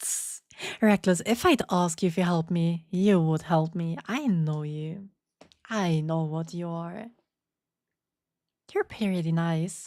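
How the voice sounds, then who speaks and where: Long, frequent pauses mark a woman's very slow speech at a fairly low pitch. The recording is very clean, with a silent background. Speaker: VTuber streamer. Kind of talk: casual live-stream chat with viewers. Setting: live stream. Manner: stammering, repeats words.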